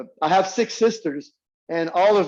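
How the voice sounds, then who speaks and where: A man's voice in a Quebec accent, with ordinary pitch variation. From Quebec countryside. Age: 60s. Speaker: strength coach. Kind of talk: interview. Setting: radio interview. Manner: halting.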